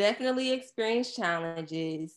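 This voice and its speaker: In a normal speaking voice, a woman with an American accent talks fairly slowly with ordinary pitch variation over a quiet background. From Surry County, Virginia. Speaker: agency owner. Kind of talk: casual interview chat.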